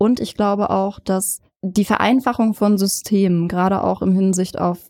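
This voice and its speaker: The tone of this woman's voice is dark and mellow. It sits at a medium pitch. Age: 20s. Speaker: hairstylist. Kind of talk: interview.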